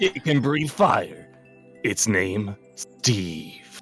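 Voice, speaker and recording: Over faint background music, a man puts on a character voice at a medium pitch. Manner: hyped, salesy.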